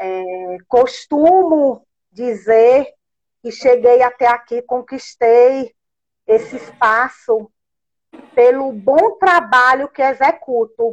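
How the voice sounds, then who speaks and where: High pitch from a woman at a very slow pace, with long, frequent pauses. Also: ordinary pitch variation. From northeastern Brazil. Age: 40s. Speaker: social worker. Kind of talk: talk in an online live event. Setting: live video stream.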